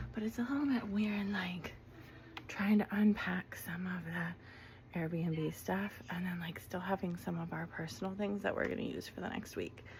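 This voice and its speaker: Whispering from a woman at a moderate pace, with noticeable background noise. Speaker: vlogger. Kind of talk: casual home tour vlog. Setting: at home. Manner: casual with many fillers.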